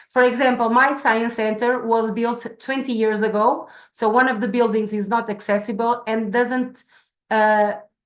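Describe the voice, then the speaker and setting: At a moderate pace, a woman with a Portuguese accent speaks in a fairly high, monotone voice with flat intonation. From Portugal. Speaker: science center staff presenter. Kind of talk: online presentation. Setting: video call. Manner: halting, many fillers.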